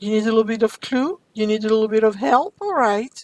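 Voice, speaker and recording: This woman has a fairly high pitch and speaks with a French accent. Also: dry, close sound with no echo. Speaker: French teacher. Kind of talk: language lesson. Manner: slow, clear.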